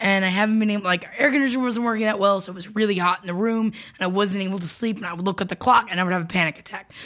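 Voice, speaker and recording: A woman with an American accent talks at a very fast pace at a medium pitch with fairly even intonation over noticeable background noise. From Florida. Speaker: comedy podcast co-host. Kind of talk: casual chat and advice.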